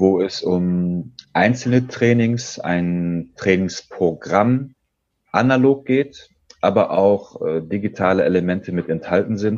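A man's fairly low pitch shows ordinary variation as he talks at a very slow pace. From Germany, Dortmund (Ruhr area). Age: 30s. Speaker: sales trainer and game designer. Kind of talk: interview.

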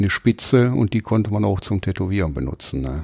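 Dark, mellow tone at a fairly quick pace. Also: man. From Ruhr area, Duisburg. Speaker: tattoo artist. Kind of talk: casual interview.

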